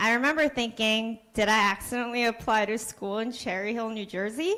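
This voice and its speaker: Speaking at a fairly quick pace, a woman has a fairly high-pitched voice. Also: fairly even intonation. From Korea. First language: Korean. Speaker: kindergarten teacher. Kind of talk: prepared speech. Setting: public board meeting.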